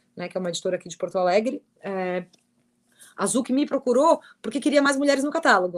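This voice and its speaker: In a dry, close sound with no echo, a woman with a normal speaking voice talks at a fairly high pitch with lively intonation. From southern Brazil, Criciúma (Santa Catarina). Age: 40s. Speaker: writer and editor on gender and sport. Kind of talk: online panel discussion.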